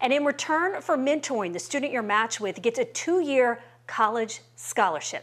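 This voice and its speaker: A woman speaks at a fairly quick pace in a high voice, her pitch swinging very widely. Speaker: TV news reporter. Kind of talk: news report narration. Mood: warm and upbeat. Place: home room. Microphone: lapel.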